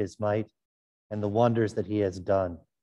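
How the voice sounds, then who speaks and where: A man with a dark, mellow tone and fairly even intonation talks at a moderate pace over a quiet background. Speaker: priest. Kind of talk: liturgy. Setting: church. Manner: formal. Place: church.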